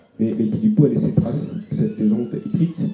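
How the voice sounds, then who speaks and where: A man's voice is somewhat breathy, with very wide pitch swings at a moderate pace. Audible room echo surrounds it. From northern France, Dunkirk; France. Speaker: travel writer; guest. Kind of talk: literary talk before an audience. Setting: restaurant with live audience. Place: home room. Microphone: handheld.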